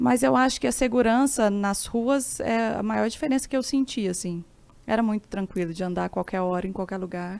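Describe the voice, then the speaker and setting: Here is a woman with a normal speaking voice. Her fairly high pitch carries lively intonation at a moderate pace. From Brazil, Minas Gerais (Araxá). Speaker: blogger and former immigrant worker. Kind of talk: casual podcast interview.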